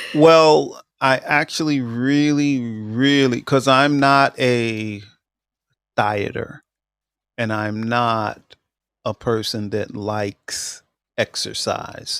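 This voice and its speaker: At a very slow pace, a man speaks at a medium pitch with ordinary variation, in a very clean recording with a silent background. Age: 60s. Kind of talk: casual chat. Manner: halting, many fillers.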